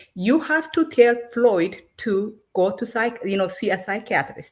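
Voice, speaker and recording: A woman speaks with an Ethiopian accent at a fairly slow pace. Her high voice makes very wide pitch swings. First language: Amharic. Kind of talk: heated debate. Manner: halting.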